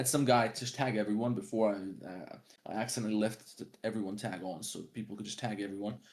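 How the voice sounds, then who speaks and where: Fairly even intonation in a plain, everyday voice, a man's, pitched fairly low. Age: 20s. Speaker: 3D artist streamer. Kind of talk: casual livestream chat. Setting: live stream.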